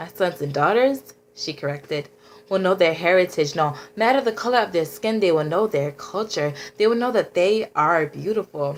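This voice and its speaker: This woman talks at a moderate pace with lively intonation. She has a plain, everyday voice. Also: medium pitch for a woman. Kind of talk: spoken word poetry.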